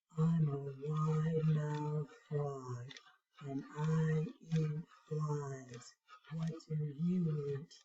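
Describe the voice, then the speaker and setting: In a put-on character voice, a woman speaks very slowly at a very deep, low pitch. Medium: read story.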